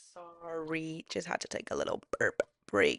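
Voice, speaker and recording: A woman with an American accent at a fairly slow pace, dry and close with no echo, against a quiet background. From Los Angeles, US (Oaxacan Mexican family). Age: 20s. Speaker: podcaster. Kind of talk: casual personal monologue.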